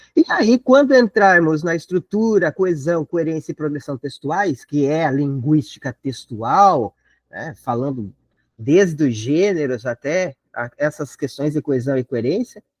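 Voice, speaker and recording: Against a quiet background, a man with a plain, everyday voice speaks fairly slowly at a fairly high pitch, with a dry, close sound and no echo. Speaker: teacher preparing students for an exam. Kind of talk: online lecture. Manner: casual, conversational.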